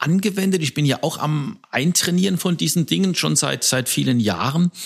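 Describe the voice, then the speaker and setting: The voice has vocal fry and lively intonation. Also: man. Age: 60s. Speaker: podcast co-host, leadership coach. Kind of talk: casual podcast conversation.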